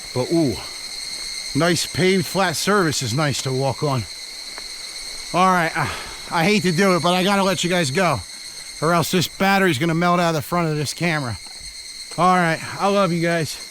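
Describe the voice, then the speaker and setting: Over noticeable background noise and audible room echo, a man with a high pitch speaks at a moderate pace and very even loudness, using ordinary pitch variation and long, frequent pauses. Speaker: travel vlogger. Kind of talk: casual vlog monologue while hiking. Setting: outdoors on a forest trail. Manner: animated.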